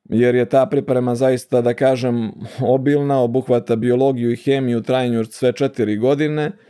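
With a dark, mellow tone, a man speaks at a moderate pace, with fairly even intonation and very even loudness, over a quiet background. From Montenegro, Bar; Montenegro. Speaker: ENT surgeon; guest. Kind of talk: interview. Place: studio. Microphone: studio mic.

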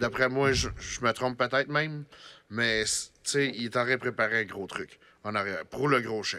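A man with a Quebec accent speaks in a bright, sharp tone. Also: fairly even intonation, moderate pace. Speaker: podcast host. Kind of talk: casual chat. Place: studio. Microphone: studio mic.

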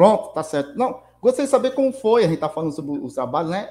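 A man speaks with lively intonation. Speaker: channel co-host. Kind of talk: livestream interview. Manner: halting. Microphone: video call.

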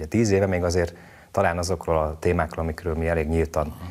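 This man talks in a very deep, low voice with a flat, monotone delivery. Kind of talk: interview answers. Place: studio. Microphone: lapel.

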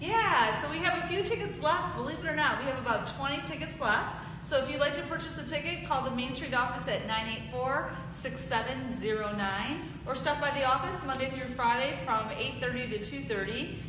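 A woman with a high-pitched voice talks at a moderate pace over noticeable background noise, with audible room echo. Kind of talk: casual live announcement chat. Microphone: camera far.

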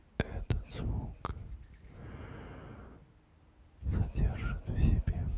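A man is whispering. He is soft-spoken. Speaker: ASMR creator. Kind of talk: ASMR whisper. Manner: slow soft ASMR whisper. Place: home room.

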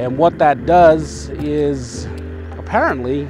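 Music plays in the background as a man speaks with very wide pitch swings, the sound dry with no echo. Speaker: scooter commuter vlogger. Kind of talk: casual vlog chat. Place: street. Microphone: lapel.

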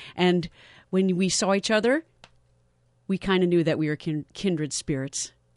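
At a moderate pace and a fairly low pitch, a woman speaks with ordinary pitch variation and long, frequent pauses, her voice dry with no echo against a quiet background. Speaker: radio host. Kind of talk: radio interview. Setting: studio. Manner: enthusiastic. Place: studio. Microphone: studio mic.

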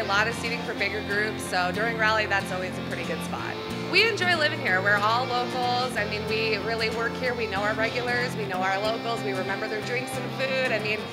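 A woman talking at a fairly quick pace with hardly any pauses, loud music in the background. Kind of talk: interview answer. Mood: cheerful, smiling. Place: bar.

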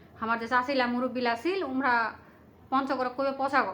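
This is a woman speaking. Her pitch is high. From Panchagarh, northern Bangladesh. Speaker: video creator. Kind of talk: casual monologue to viewers.

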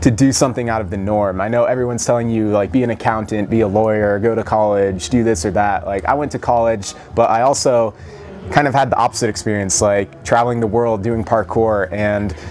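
Against light background noise, a man talks at a fairly quick pace in an ordinary speaking voice, with fairly low pitch and fairly even intonation. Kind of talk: interview answer. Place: gym.

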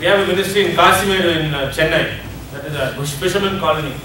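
Moderate-paced speech with audible room echo and light background noise. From India. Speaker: addiction ministry leader. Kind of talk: seminar lecture. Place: hall. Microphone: camera far.

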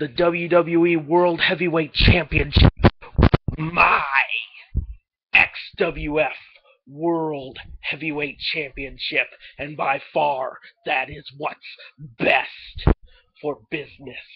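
A middle-pitched voice speaks at a very slow pace, broken by long, frequent pauses. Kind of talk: pro-wrestling promo. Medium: solo performance. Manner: boastful, defiant, swaggering; profane, taunting.

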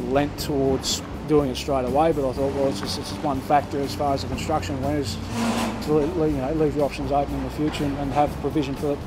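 Loud background noise surrounds a man talking at a very fast pace. The sound is dry with no echo. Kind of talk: interview answer. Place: farm machine.

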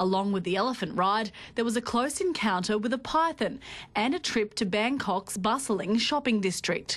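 A woman with an unremarkable speaking voice, fairly high pitch, lively intonation, very even loudness and a moderate pace. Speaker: TV news reporter. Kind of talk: TV news report.

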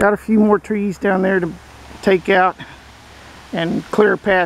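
The speech moves at a moderate pace in a dry sound with no echo, with light background noise behind it. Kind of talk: casual vlog chat. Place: forest. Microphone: phone near.

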